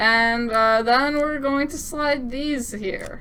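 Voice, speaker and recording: Raising and projecting her voice, a woman speaks in an upbeat tone at a very slow pace and a high pitch, with ordinary pitch variation and audible room echo. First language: French. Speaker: game developer demoing own game. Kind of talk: gameplay demo commentary. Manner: casual, upbeat.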